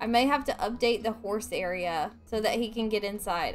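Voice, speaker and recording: A woman speaking at a moderate pace, with faint music behind her. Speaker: gaming streamer. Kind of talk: casual gameplay commentary.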